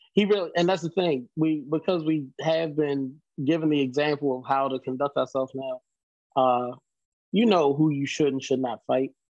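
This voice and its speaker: Fairly high male speech at a moderate pace, its pitch varying in a normal way. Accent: Baltimore. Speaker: hardcore band vocalist. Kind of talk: casual interview chat. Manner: animated, profane.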